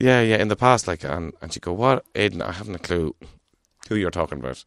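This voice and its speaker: In an Irish accent, a man speaks at a very deep, low pitch with lively intonation. He goes at a fairly quick pace, the sound dry and close with no echo. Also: quiet background. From Ireland. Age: 40s. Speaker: guest with a stammer. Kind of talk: casual interview. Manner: halting.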